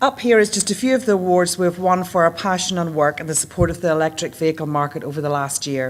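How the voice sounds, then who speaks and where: The speaker uses a Northern Irish accent with ordinary pitch variation. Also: woman. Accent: Northern Irish accent, noticeable. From Northern Ireland. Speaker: leasing account manager. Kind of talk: conference presentation. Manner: formal.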